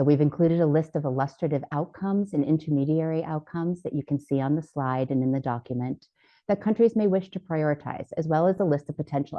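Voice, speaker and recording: With hardly any pauses, a woman speaks very fast at a very deep, low pitch, with ordinary pitch variation. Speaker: panelist presenting a health program framework. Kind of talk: conference presentation.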